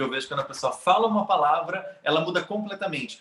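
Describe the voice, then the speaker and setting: The delivery is very fast with ordinary pitch variation. Noticeable background noise sits behind it. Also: man. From Brazil. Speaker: immigrant in Canada. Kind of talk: casual interview chat.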